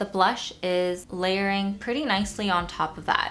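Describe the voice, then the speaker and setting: At a fairly slow pace, a woman talks in an ordinary speaking voice of medium pitch. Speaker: beauty youtuber. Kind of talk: makeup tutorial and product review. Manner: casual.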